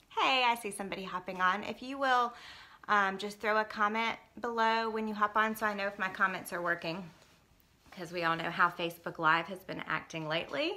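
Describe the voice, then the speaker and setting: With a Southern US accent, a woman talks at a fairly quick pace in a bright, sharp tone. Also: medium pitch for a woman, ordinary pitch variation. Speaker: network marketing team leader. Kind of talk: live stream talk. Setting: Facebook Live broadcast at home. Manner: casual, filler-heavy.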